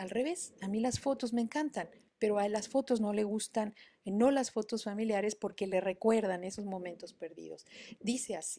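At a moderate pace, a woman speaks in a fairly high pitch with a dark, mellow tone. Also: ordinary pitch variation. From Mexico City. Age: 50. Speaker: online storytelling workshop host. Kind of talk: live-streamed talk with book readings. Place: home room. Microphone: webcam.

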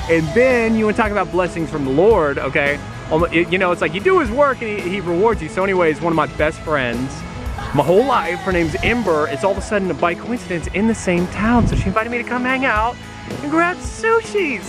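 A man at a fairly quick pace, the sound dry with no echo, clear music in the background. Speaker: street musician missionary vlogger. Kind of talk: casual vlog chat. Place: street. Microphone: phone near.

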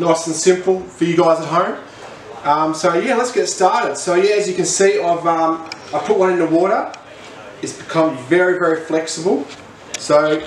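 A man with a high pitch talks at a moderate pace with fairly even intonation, with audible room echo and light background noise. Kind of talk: tutorial. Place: kitchen.

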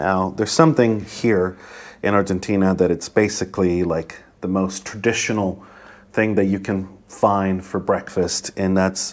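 A man speaks at a very deep, low pitch. His pace is moderate and his intonation fairly even. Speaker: vlogger. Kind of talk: casual vlog chat. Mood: relaxed, self-mocking. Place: home room. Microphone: lapel.

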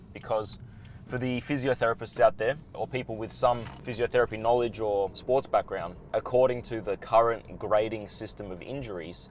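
Very fast speech comes from a man with a fairly low pitch, the sound dry with no echo and light background noise. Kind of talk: casual vlog chat. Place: car. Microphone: lapel.

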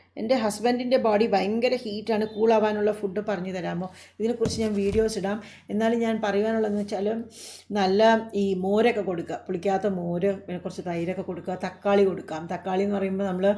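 With fairly even intonation and a dark, mellow tone, this woman's voice holds a medium pitch. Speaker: doctor answering viewer questions. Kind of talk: live Q&A. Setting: live stream. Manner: warm, conversational.

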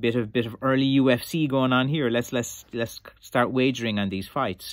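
At a moderate pace, a man is talking. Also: quiet background. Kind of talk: casual vlog chat. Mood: relaxed, amused. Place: shop. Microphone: phone near.

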